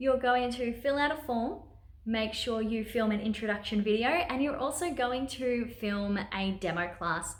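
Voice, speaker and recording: Speaking with an Australian accent, a woman has a high pitch and ordinary pitch variation at a moderate pace. Audible room echo and noticeable background noise surround her. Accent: Australian, sometimes taken for British. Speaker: online teacher and video creator. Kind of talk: tutorial vlog. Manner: upbeat, chatty.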